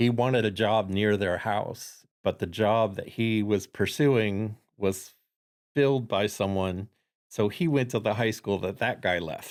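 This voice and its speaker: Fairly slow delivery in a slight Chicago accent, ordinary pitch variation, very clean recording and silent background. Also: man, fairly low pitch for a man. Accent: slight Chicago, nasal. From Florida. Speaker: entrepreneurship network founder. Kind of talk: interview.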